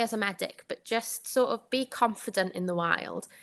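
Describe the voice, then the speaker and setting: Using ordinary pitch variation, a woman with a Welsh accent speaks at a moderate pace in a bright, sharp tone. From Wales. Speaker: doctor. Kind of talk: podcast interview.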